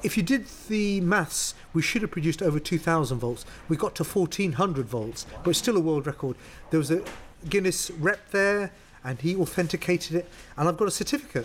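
A high-pitched man with a London accent and lively intonation. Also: fairly quick pace. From North London. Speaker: professor of materials chemistry. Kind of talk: interview.

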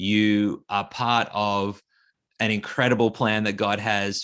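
With an Australian accent, a man speaks at a fairly low pitch and a fairly slow pace. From Australia (Sydney, regional New South Wales). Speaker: author and school teacher. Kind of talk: interview conversation. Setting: remote call from Australia.

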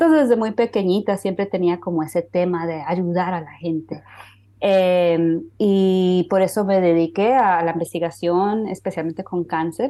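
A woman with a dark, mellow tone speaks at a fairly slow pace and medium pitch over a quiet background. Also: ordinary pitch variation. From Honduras, raised in the US from age three. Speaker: cancer researcher and health tech entrepreneur. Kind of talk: interview.

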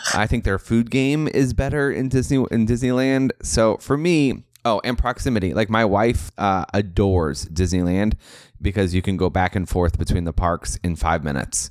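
Recorded very cleanly against a silent background, a man with an American accent speaks in an unremarkable speaking voice, fairly low in pitch, at a moderate pace with lively intonation. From California. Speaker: podcast host and travel advisor. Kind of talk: casual chat.

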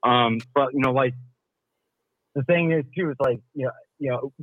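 This man has a plain, everyday voice and an American accent. He talks at a fairly quick pace with ordinary pitch variation. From Milwaukee, Wisconsin. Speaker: caller, union member. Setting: phone call.

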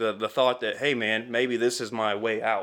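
A man with an American accent talks at a moderate pace and medium pitch. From US Midwest, central Illinois (Altamont). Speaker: car salesman. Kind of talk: personal testimony in casual interview. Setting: home basement studio.

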